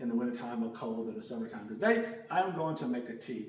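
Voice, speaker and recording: Noticeable background noise and audible room echo surround a man talking at a very fast pace. His tone is animated, with very wide pitch swings. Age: 60s. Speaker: gospel music artist and video creator. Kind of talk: casual cooking tutorial.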